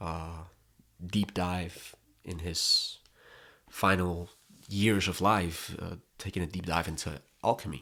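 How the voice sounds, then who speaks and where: This man has a very deep, low pitch and a Spanish accent. His intonation stays fairly even. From Colombia. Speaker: content creator. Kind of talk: personal vlog monologue. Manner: halting, repeats words.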